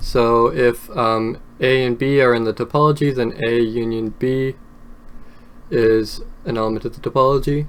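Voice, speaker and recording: His voice is pitched in the middle range. The man's intonation holds fairly level. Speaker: math lecturer. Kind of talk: lecture. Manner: slow; hesitant, many fillers.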